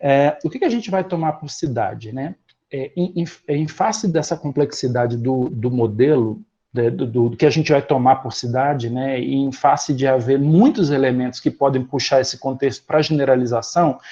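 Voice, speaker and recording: Somewhat breathy male speech, fairly high in pitch, dark and mellow in tone, with ordinary pitch variation. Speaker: professor. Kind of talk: lecture. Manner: fast.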